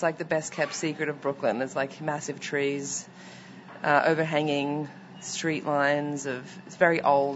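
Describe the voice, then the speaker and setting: In a slight Australian accent, a woman with a very deep, low pitch speaks at a moderate pace, her loudness swinging widely. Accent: mild Australian. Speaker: restaurant owner. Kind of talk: casual interview. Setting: restaurant.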